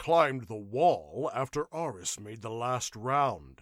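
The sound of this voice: A man's put-on character voice, growling at medium pitch, with lively intonation, big swings in loudness and a fairly slow pace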